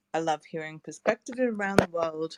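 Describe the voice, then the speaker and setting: A woman with an Australian accent and lively intonation, in a dry, close sound with no echo. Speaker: scientist and long covid advocate. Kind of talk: panel discussion. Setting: online audio room.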